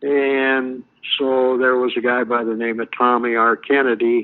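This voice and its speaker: With an American accent, a man speaks at a fairly slow pace in a monotone, flat delivery. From Montana. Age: 70s. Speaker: activist interviewee. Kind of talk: interview. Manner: halting, many fillers.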